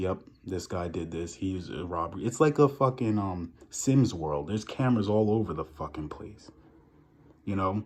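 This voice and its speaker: This man talks in an animated way at a fairly low pitch, with a New York accent. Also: quiet background. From New York, Long Island. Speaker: vlogger. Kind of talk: casual rant to camera.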